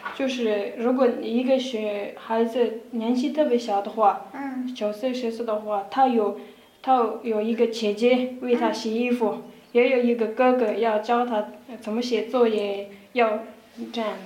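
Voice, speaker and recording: The speaker has a Tibetan accent and a monotone, flat intonation at a fairly slow pace. Noticeable background noise and audible room echo fill the recording. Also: woman, fairly high pitch for a woman. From Tibet, Kham region (Dege county). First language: Tibetan (speaking Chinese). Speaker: university student. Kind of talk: casual interview. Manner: halting.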